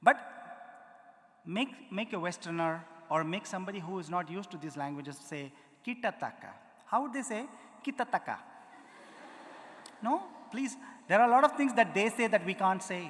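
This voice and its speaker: A man's high, animated voice with a strong Indian accent, big swings in loudness and long, frequent pauses. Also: lively intonation. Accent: Indian accent, heavy. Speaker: musician, konnakol percussionist. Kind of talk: conference talk with demonstration. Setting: auditorium with live audience.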